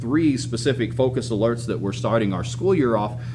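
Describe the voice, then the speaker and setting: A man at medium pitch and a fairly quick pace, ordinary pitch variation, audible room echo and noticeable background noise. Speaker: high school administrator. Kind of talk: school announcements. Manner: fast.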